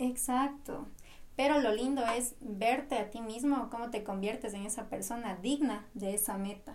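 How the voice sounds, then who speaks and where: With audible room echo behind her, a woman speaks at a fairly high pitch and a fairly slow pace, her intonation fairly even. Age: 20s. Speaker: podcast co-host, architecture student. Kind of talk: casual chat.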